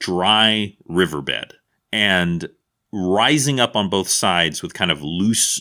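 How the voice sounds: Lively intonation runs through a natural reading voice heard over a quiet background.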